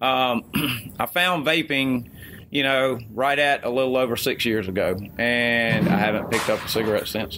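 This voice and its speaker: With noticeable background noise behind him, a man speaks at a very even loudness and with ordinary pitch variation. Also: medium pitch for a man, moderate pace. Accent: Alabama. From US South (Mobile, Alabama). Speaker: e-liquid company co-founder. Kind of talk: interview.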